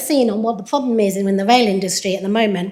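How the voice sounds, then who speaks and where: A woman speaks with an English accent. Her pitch variation is ordinary. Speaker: researcher in systems engineering. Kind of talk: conference presentation. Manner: frequent fillers (um).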